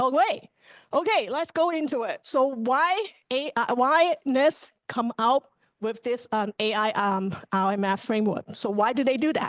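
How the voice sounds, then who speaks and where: Lively intonation at a fairly slow pace, in dry, close sound with no echo. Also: woman, high pitch for a woman. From Hong Kong. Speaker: cybersecurity engineer presenter. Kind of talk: presentation. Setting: chapter meeting on camera. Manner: hesitant with filler words.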